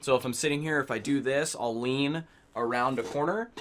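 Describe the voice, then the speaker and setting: The recording is very clean, with a silent background. A man speaks at a moderate pace and medium pitch, his pitch varying in an ordinary way. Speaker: gaming YouTuber. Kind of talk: tutorial. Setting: home gaming setup. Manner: loud. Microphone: far from the mic.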